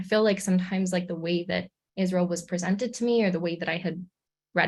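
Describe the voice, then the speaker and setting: A woman with a Canadian accent, her pitch fairly low, her delivery very fast and somewhat breathy, her intonation fairly even. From Canada, Hamilton, Ontario. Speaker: graduate student. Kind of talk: presentation to community group.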